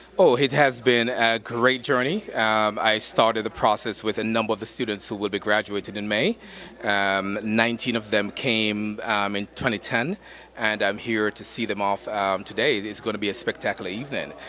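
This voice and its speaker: A man with a Jamaican accent talks at a moderate pace. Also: fairly low pitch for a man, fairly even intonation. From Jamaica, Saint Thomas parish. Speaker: university student affairs administrator. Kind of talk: red carpet interview. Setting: red carpet at gala event.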